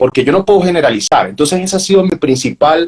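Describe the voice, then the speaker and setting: This man talks at a very fast pace, somewhat breathy. The sound is dry and close, without any echo. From Venezuela. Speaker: journalist, professional announcer, university lecturer. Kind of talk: interview answer.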